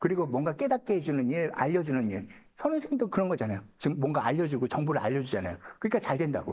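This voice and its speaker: Very fast speech from a man with vocal fry, a fairly high pitch and very wide pitch swings. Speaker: saju fortune-telling lecturer. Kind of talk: lecture. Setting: seminar room with live audience. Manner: casual, conversational.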